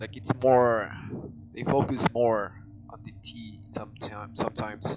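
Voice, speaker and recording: Over noticeable background noise, a man with a strong Spanish accent talks at a fairly slow pace in a medium pitch, flat and monotone, with big swings in loudness. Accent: heavy Spanish. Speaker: gaming streamer. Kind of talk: casual chat. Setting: live stream.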